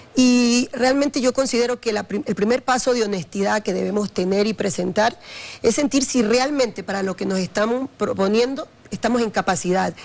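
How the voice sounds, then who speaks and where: Pitched fairly high, a woman talks in a plain, everyday voice. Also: ordinary pitch variation, moderate pace. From Ecuador, Guayaquil. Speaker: vice-presidential candidate. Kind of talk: televised political interview.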